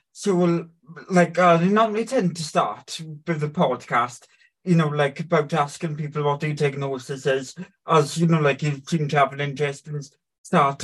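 Intonation stays fairly even in this somewhat breathy voice. The speed is moderate. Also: man. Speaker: podcast host interviewer. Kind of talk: casual interview.

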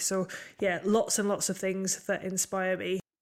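In a northeast English accent, a woman speaks at a medium pitch with monotone, flat intonation. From northeast England. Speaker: podcast co-host, land agent. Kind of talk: casual chat.

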